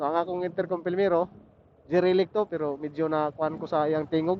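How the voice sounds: A man with a fairly high pitch speaks at a fairly quick pace with little pitch movement.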